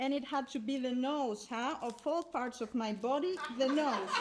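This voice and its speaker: A high, female-sounding cartoonish character voice speaks at a moderate pace over clear background noise. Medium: puppet. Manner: scolding, exasperated.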